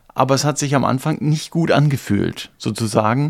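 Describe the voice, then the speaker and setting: On a very clean recording with a silent background, a man speaks in a normal speaking voice. He holds a medium pitch at a moderate pace with ordinary pitch variation. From eastern Germany. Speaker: podcast co-host, church member. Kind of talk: casual discussion.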